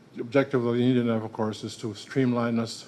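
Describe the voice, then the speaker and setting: In a room with audible echo, a man speaks very fast at a medium pitch, his dark, mellow tone staying flat and monotone. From Manitoba First Nation (Ojibway). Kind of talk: lecture. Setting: room with audience. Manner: halting, many fillers.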